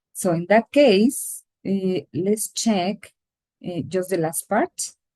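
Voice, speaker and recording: A woman at medium pitch with a Latin American accent, lively intonation, a dark, mellow tone and a very slow pace, in a dry, close sound with no echo. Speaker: English teacher. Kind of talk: lecture.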